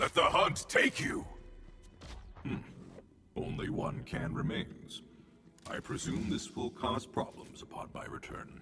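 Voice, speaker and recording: Using a put-on character voice, a man speaks at a fairly high pitch and a fairly slow pace. Long, frequent pauses come through over clear background noise. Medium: video game. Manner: formal, stiff, dry.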